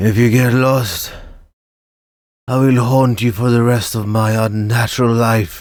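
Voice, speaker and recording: A man speaks in a put-on character voice at a medium pitch. His pace is fairly slow, with long, frequent pauses. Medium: read story.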